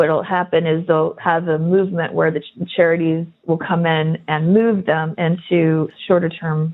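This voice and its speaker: Speaking with an American accent, a woman uses a fairly low pitch and monotone, flat intonation. She goes at a fairly slow pace with hardly any pauses. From US, Los Angeles. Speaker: local resident and activist. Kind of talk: podcast interview. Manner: halting, many restarts.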